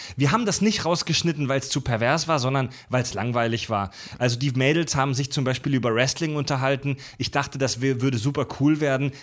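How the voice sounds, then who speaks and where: A man's normal speaking voice, medium in pitch and fairly quick in pace. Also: ordinary pitch variation. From Baden-Württemberg, near Pforzheim. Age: 30s. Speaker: podcast host, former radio presenter. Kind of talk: casual chat.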